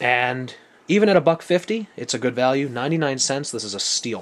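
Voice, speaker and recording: This man speaks with a Buffalo accent at a moderate pace. His pitch sits fairly high. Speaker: knife reviewer. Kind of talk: product review. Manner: casual.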